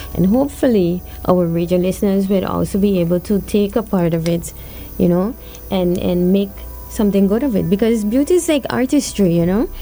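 A woman at medium pitch with ordinary pitch variation and very even loudness, at a fairly quick pace amid noticeable background noise. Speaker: co-producer and guest host. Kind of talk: casual interview chat. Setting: studio.

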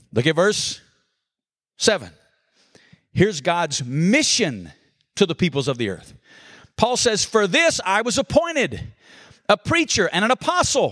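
An energetic man with an Alabama accent, high-pitched for a man, at a fairly slow pace with very wide pitch swings and long, frequent pauses. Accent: Southern US (Alabama). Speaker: pastor. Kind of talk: conference breakout sermon, expository Bible teaching with call-and-response. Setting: conference room with live audience. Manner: energetic, folksy preacher cadence, drawing audience responses; rhetorical questions then emphatic punchlines.

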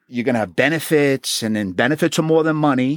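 A man with a Queens accent talks at a fairly quick pace with lively intonation, in a very clean recording with a silent background and a dry, close sound with no echo. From Queens, New York City. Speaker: retired homicide detective. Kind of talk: interview. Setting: studio.

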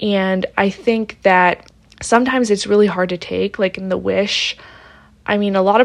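Using an unremarkable speaking voice with an American accent, a woman talks at a moderate pace, with a medium pitch and fairly even intonation. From Pittsburgh, Pennsylvania, US. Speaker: podcast host and writer. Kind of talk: solo podcast monologue.

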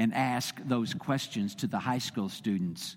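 A man with a Texan accent speaks at a fairly slow pace in a medium-pitched voice. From Texas. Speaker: visiting preacher for a state Baptist body. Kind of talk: sermon. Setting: church. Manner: halting, many fillers.

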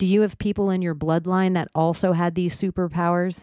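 Against a silent background in a very clean recording, a woman talks at a moderate pace. Hers is an unremarkable speaking voice with a fairly low pitch. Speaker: podcast host. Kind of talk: casual chat.

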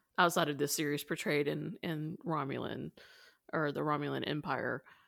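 Vocal fry runs through this voice, which moves at a moderate pace with fairly even intonation. The recording is very clean, with a silent background. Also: woman. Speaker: podcast co-host. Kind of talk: casual chat about Star Trek.

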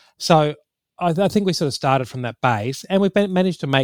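On a very clean recording with a silent background and a dry, close sound with no echo, a man with an Australian accent talks at a fairly quick pace with lively intonation. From Queensland, Australia. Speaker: political campaigner. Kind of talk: casual political analysis interview.

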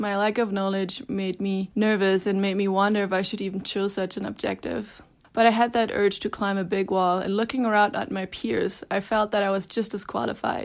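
In a very clean recording with a silent background, a woman with a German accent speaks with hardly any pauses. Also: medium pitch for a woman. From Germany, Berlin. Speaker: climber and mountain guide. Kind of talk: reading aloud.

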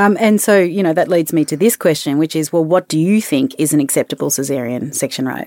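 In an Australian accent, a woman with a very deep, low pitch and a dark, mellow tone speaks very fast with lively intonation, the sound dry and close with no echo. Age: 40s. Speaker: podcast co-host. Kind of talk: casual educational chat.

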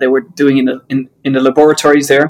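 A man speaks with a Dutch accent at a fairly high pitch. His intonation is monotone and flat. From Netherlands. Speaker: business author and co-founder. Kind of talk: interview. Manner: hesitant with frequent fillers.

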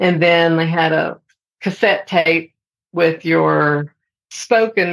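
A woman's fairly low voice at a very slow pace, in a very clean recording with a silent background. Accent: American. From Texas, Amarillo. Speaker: sign language interpreter and educator. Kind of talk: interview.

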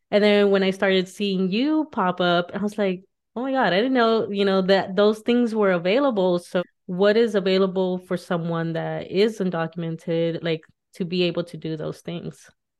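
In an ordinary speaking voice, a woman talks at a medium pitch with ordinary pitch variation. Her pace is moderate. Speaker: podcast host. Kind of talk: casual interview chat.

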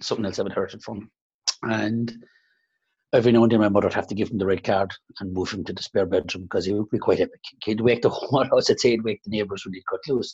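Against a quiet background, a man with an Irish accent talks at a very fast pace, somewhat breathy and fairly low-pitched, with fairly even intonation. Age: 50s. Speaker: salon owner and business coach. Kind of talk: interview. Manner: halting.

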